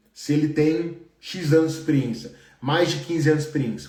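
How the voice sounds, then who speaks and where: In a room with audible echo, a man talks at a moderate pace with a fairly high pitch. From Brazil. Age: 30s. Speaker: engineer and career coach. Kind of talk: live stream Q&A. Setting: live stream. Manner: casual, conversational.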